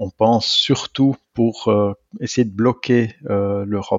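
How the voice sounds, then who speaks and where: A man speaks at a very slow pace. His pitch is medium, his intonation fairly even. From Switzerland, canton of Neuchâtel. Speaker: physics professor, atomic clock specialist. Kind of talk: interview.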